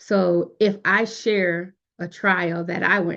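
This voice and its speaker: A woman's plain, everyday voice, fairly low in pitch, with fairly even intonation. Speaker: youth leadership program facilitator. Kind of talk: online workshop lecture.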